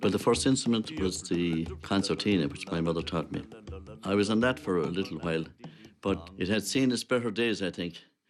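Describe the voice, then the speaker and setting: Music plays behind a man with a very deep, low pitch. He talks at a fairly quick pace with ordinary pitch variation. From Ireland, County Clare. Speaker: traditional musician. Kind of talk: documentary interview, reminiscing.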